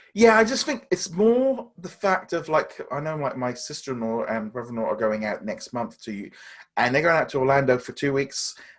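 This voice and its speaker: With an English accent, a man talks at a moderate pace in a fairly high pitch, his voice swinging very widely up and down over a very clean recording with a silent background. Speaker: podcast co-host. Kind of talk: casual chat.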